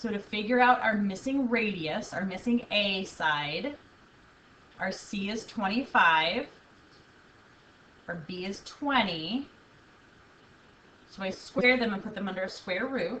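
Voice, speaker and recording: A woman at medium pitch talks fairly slowly with ordinary pitch variation and long, frequent pauses. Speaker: math teacher. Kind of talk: video lesson.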